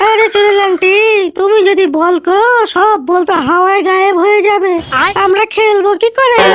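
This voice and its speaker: The speech moves at a moderate pace in a cartoonish character voice. Background noise is clearly heard. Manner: excitable.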